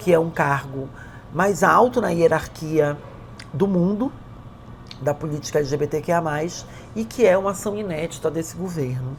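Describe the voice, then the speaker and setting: This woman has a very deep, low pitch and lively intonation. She leaves long, frequent pauses. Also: moderate pace. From Brazilian Amazon. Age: 40s. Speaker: government official and LGBTQ+ activist. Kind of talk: interview testimony. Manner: halting, with fillers.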